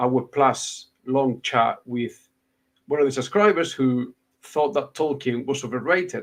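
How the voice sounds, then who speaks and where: With a Spanish accent, a man speaks at a fairly slow pace and a fairly high pitch, using ordinary pitch variation. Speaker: booktuber, podcast host. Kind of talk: casual chat.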